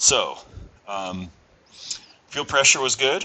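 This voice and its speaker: Delivered at a fairly slow pace, a normal speaking voice carries ordinary pitch variation. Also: man. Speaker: auto mechanic. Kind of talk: tutorial. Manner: casual, many fillers.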